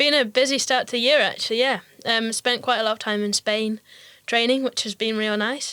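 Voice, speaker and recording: A woman with a slight Scottish accent talks at a fairly quick pace in a fairly high pitch, her tone bright and sharp. Her intonation stays fairly even, and the sound is dry and close with no echo. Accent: only slight Scottish. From Scottish Highlands, near Inverness. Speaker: professional mountain bike racer. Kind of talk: casual interview chat.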